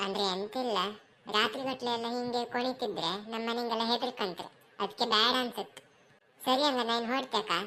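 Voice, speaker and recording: A woman performs a cartoonish character voice. It sits at a fairly high pitch and moves at a moderate pace. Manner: polite, hesitant.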